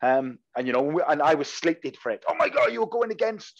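A man with a Welsh accent over a quiet background. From Wales. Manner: fast talker, slangy.

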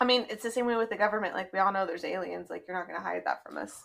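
A woman speaks in a bright, sharp tone. Vocal fry runs through her voice. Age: 20s. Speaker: podcast co-host. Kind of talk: casual chat.

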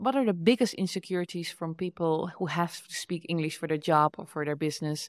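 A woman with a Dutch accent talks at a fairly quick pace in a fairly low pitch. The recording is very clean with a silent background and a dry, close sound with no echo. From Netherlands. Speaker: podcast host and entrepreneur. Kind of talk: casual interview. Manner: animated, laughs often.

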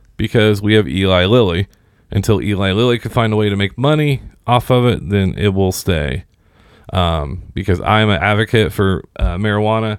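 In a normal speaking voice, a man with an American accent talks at a moderate pace, with a fairly low pitch and ordinary pitch variation. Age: 30s. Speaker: podcast host. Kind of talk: casual interview chat.

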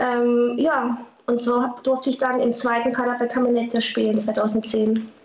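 Amid audible room echo and noticeable background noise, a high-pitched woman speaks at a fairly slow pace with monotone, flat intonation and very even loudness. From southern Baden, Germany (Lörrach). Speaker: former paintball player and artist. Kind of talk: interview.

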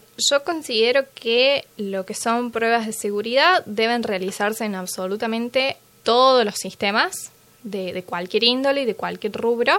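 Here a woman uses a plain, everyday voice at a fairly high pitch with ordinary pitch variation. She talks at a fairly slow pace. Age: 20s. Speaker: security engineer. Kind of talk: interview.

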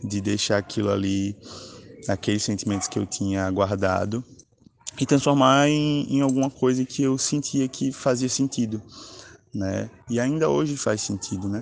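Speaking at a moderate pace with lively intonation, a man with a fairly low pitch leaves long, frequent pauses. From Alagoas, Brazil. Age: 20s. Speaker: poet and author. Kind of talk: interview.

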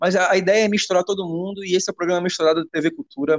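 With fairly even intonation, the man's speech races along at a very fast pace. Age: 30s. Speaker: musician. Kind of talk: casual chat. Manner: halting.

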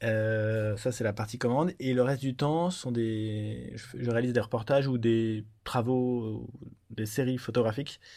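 A man speaks at a medium pitch with a dark, mellow tone. His intonation is fairly even, and the recording is very clean with a silent background. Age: 30s. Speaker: photojournalist. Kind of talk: interview. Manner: halting, many hesitations.

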